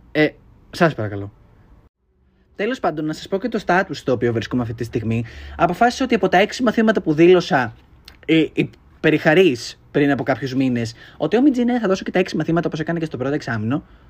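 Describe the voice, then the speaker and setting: A man talks at a very fast clip with fairly high pitch, very wide swings in pitch, and long, frequent pauses. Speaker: podcaster. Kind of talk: casual monologue. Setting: home bedroom.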